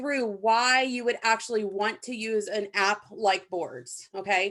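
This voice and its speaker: Using a plain, everyday voice, a woman with a fairly high pitch speaks at a moderate pace and with ordinary pitch variation. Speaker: app trainer. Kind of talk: tutorial.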